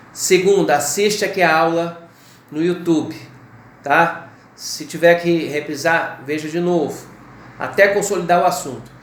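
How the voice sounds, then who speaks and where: A man with a high pitch talks at a fairly slow pace, with fairly even intonation and long, frequent pauses. Noticeable background noise and audible room echo are present. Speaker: law teacher. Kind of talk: lecture.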